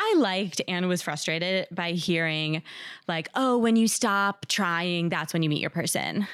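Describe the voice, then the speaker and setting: An American accent marks this woman's fairly slow speech, an unremarkable speaking voice at medium pitch with ordinary pitch variation, on a very clean recording with a silent background. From New Jersey. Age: 30s. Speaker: anonymous dater sharing her story. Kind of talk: casual interview.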